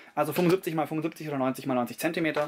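Over light background noise, a man speaks in a fairly high pitch with fairly even intonation. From Bavaria, Allgäu; Bavaria. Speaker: tabletop gaming YouTuber; hobby wargamer. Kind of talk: casual video talk to camera. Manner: hesitant with many fillers.

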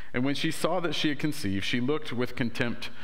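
A man speaks with lively intonation. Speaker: pastor. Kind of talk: sermon scripture reading. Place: church.

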